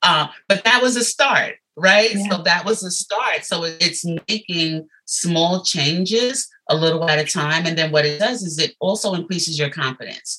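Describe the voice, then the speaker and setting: The tone is bright and sharp. Intonation is lively and the pace moderate. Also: woman. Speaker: life coach and motivational speaker. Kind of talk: interview.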